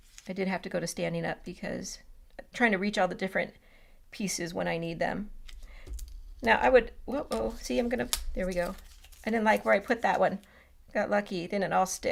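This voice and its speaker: Using a fairly quick pace broken by long, frequent pauses, a woman talks with lively intonation and vocal fry. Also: medium pitch for a woman. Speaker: scrapbooking demonstrator. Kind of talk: live stream tutorial. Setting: live stream, standing. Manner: fast; casual, chatty.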